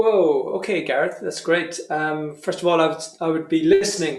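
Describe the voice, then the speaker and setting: Pitched fairly high, a man's voice carries audible room echo. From Ireland. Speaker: professional trumpeter and music teacher. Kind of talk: masterclass Q&A, teaching advice. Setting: remote video session. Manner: casual, hesitant with fillers and repetitions.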